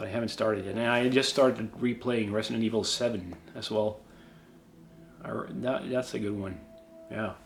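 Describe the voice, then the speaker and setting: Over background music, a man speaks at a moderate pace and fairly low pitch, with fairly even intonation and long, frequent pauses. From Sweden. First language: Swedish. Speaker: YouTuber, cosplayer. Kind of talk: casual Q&A. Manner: halting, many fillers.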